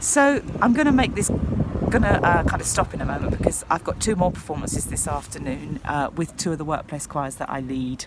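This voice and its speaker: A woman talks at a fairly quick pace in a very deep, low pitch with very wide pitch swings. Noticeable background noise is present. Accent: southern English. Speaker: choir leader. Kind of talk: casual vlog monologue. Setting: outdoors on a kayak under a pontoon.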